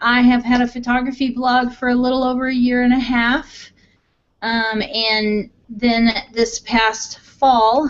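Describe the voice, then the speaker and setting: A woman with a Midwestern American accent speaks at a fairly high pitch. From Missouri. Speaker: blogger. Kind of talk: casual chat.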